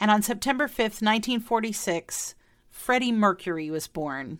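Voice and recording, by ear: With a Midwestern accent, a woman talks at a moderate pace and medium pitch, her intonation lively. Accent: American Midwestern.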